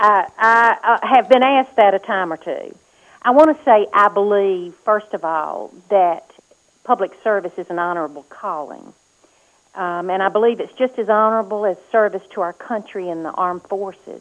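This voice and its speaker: With a Mississippi accent, a woman at medium pitch speaks with big swings in loudness. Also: ordinary pitch variation, moderate pace. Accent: US Southern (Mississippi). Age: 60s. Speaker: political candidate. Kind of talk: radio interview.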